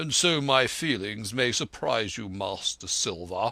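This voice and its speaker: A man's gruff, raspy put-on character voice at a medium pitch, with lively intonation and a fairly slow pace. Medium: read story. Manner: curt, gruff, educated.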